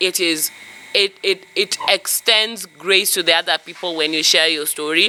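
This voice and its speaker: With noticeable background noise behind her, a woman speaks calmly at a fairly slow pace, her medium-pitched voice keeping fairly even intonation. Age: 30s. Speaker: vlogger sharing life lessons. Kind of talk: personal reflection monologue. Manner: loud; raises voice even in calm talk.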